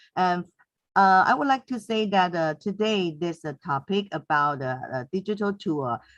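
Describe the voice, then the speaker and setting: A woman with a Mandarin accent, her voice fairly low-pitched, at a moderate pace with lively intonation. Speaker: teacher. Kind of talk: webinar comment. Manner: halting, many fillers.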